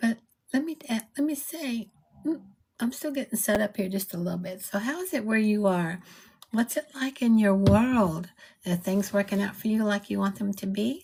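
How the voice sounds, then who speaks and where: A woman's fairly high, somewhat breathy voice with lively intonation at a moderate pace, on a very clean recording with a silent background. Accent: American. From South Texas, USA. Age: 70s. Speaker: spiritual coach and online business mentor. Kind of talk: casual live talk to camera. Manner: warm, upbeat, chatty.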